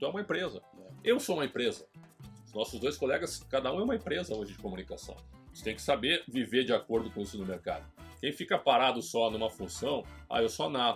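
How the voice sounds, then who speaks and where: A man with a Gaúcho Brazilian accent at a very fast pace and medium pitch, with very wide pitch swings, big swings in loudness, and music in the background. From Porto Alegre, southern Brazil. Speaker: sports journalist. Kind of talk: interview answer.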